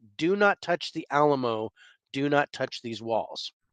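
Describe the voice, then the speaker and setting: In a put-on character voice with a low-to-middle pitch, the speaker shouts in a booming way at a moderate pace against a quiet background. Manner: commanding, yelling.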